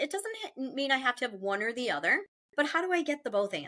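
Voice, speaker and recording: A woman with an American accent projects a raised, high, bright and sharp voice. She talks at a fairly quick pace with very wide pitch swings. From United States. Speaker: podcast co-host. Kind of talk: casual chat.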